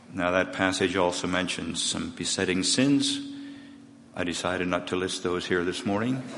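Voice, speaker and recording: This man speaks with a very deep, low pitch over noticeable background noise. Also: ordinary pitch variation, moderate pace. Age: 80s. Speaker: preacher and new church member. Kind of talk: testimony. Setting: church.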